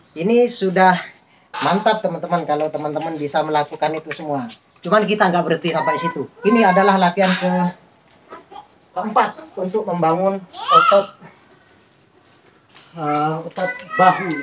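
A man with a high pitch and ordinary pitch variation speaks at a moderate pace, with long, frequent pauses. Noticeable background noise runs beneath him. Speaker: home fitness instructor. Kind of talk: tutorial. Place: garden. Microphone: camera far.

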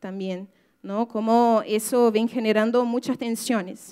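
A woman's fairly high-pitched voice against a quiet background. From Brazil. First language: Portuguese (speaking Spanish). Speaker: writer and activist; speaker. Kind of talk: talk to an audience. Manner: halting, many fillers. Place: hall. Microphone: podium.

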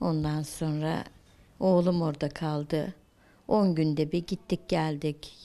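A woman speaks very slowly in a flat monotone, her pitch very deep and low, with a dark, mellow tone. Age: 50s. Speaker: news interviewee. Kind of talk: news interview. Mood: sad, worried, pleading. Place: home room. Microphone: handheld.

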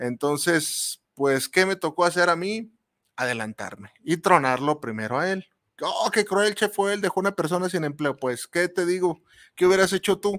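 A man's high-pitched voice with lively intonation at a moderate pace, in a very clean recording with a silent background and a dry, close sound with no echo. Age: 40s. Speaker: radio host and chef. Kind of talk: casual radio monologue. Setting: radio studio booth. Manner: animated, halting with repetitions.

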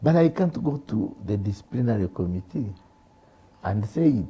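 Somewhat breathy and dark, mellow in tone, the voice moves at a moderate pace with very wide pitch swings. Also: man. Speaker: senior media producer; talk show guest. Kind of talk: panel discussion. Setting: studio. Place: studio. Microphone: lapel.

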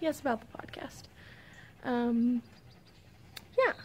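Some light noise runs in the background. A woman talks fairly slowly. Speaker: knitting podcaster. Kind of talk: casual vlog chat. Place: street. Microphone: phone near.

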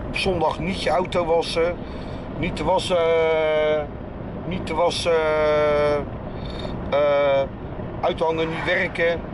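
A man speaks at a very slow pace. Loud background noise fills the clip. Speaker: vlogger driving. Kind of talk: casual vlog chat. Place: car. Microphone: phone near.

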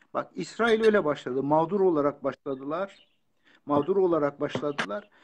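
Over light background noise, a man with a fairly high pitch talks at a moderate pace with lively intonation. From Turkey, Kurdish region. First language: Kurdish (speaking Turkish). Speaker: author and lecturer. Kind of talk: interview. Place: home room. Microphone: phone near.

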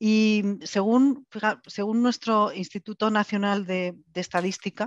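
Speech at a fairly slow pace with fairly even intonation comes through dry with no echo against a quiet background. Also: woman. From Spain. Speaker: foundation executive, panelist; panelist. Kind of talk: online panel discussion. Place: office. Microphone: headset.

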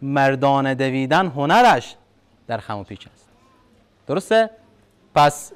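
At a fairly slow pace, a man speaks with a fairly high pitch. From Afghanistan. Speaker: university lecturer. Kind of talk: lecture. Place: hall.

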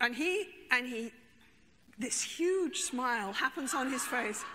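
Over light background noise, a woman speaks in a raised, projected voice at a fairly slow pace, her high pitch making very wide swings in an animated tone. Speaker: therapist. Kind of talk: storytelling. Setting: stage with audience. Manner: humorous, conversational. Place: stage. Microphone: lapel.

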